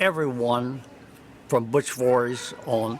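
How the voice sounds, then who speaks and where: Ordinary pitch variation in a man's medium-pitched voice, with noticeable background noise behind it. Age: 90s. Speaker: retired navy pilot. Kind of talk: interview storytelling. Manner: halting.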